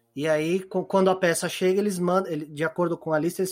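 On a very clean recording with a silent background, a man talks at a high pitch and a fairly quick pace. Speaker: podcast co-host. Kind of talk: casual chat.

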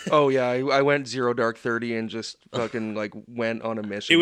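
A man talks at a moderate pace in a medium pitch, his intonation fairly even. It is an ordinary speaking voice. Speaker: podcast producer. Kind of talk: casual, profane banter.

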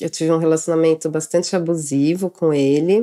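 A woman talks in an ordinary speaking voice at a fairly low pitch. Her pace is moderate. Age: 30s. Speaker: mother telling her birth story. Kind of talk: personal testimony.

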